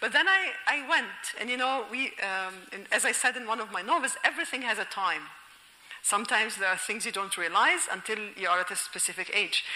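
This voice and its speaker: With an Egyptian accent, a woman talks fairly quickly at a fairly high pitch with lively intonation, amid audible room echo and noticeable background noise. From Egypt, Alexandria. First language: Egyptian Arabic. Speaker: novelist and linguistics professor. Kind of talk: lecture. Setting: auditorium with audience.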